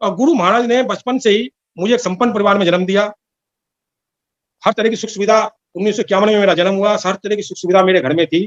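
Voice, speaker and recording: A man with a high-pitched voice speaks with long, frequent pauses. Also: ordinary pitch variation, dry, close sound with no echo. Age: 70s. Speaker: devotee giving testimony. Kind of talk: testimony.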